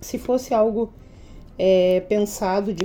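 A woman's voice has a fairly high pitch and a dark, mellow tone. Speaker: teacher and education adviser. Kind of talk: interview. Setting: podcast recording.

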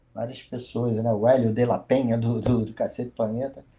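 Speaking at a moderate pace, a man uses a plain, everyday voice. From Rio de Janeiro, Brazil. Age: 50s. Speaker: musician. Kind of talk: interview.

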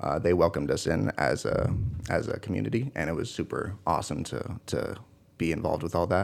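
A man talks at a fairly quick pace in a very deep, low voice with vocal fry. His intonation is lively. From Washington State, near Seattle. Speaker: college football player. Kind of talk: interview.

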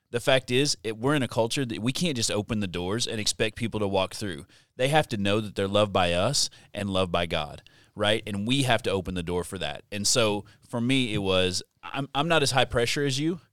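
On a very clean recording with a silent background and a dry, close sound with no echo, a man with an ordinary speaking voice talks at a fairly quick pace, his fairly low pitch carrying lively intonation. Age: 40s. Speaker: student pastor. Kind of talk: casual chat. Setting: studio.

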